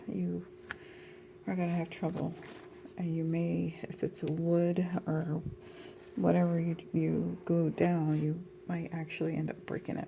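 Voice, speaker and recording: A soft-spoken woman is talking. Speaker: dollhouse crafter. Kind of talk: tutorial.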